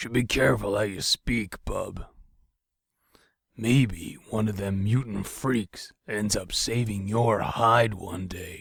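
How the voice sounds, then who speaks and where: Using a raspy put-on character voice, a man talks at a fairly slow pace with a fairly low pitch and ordinary pitch variation. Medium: audio drama. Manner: folksy, blunt.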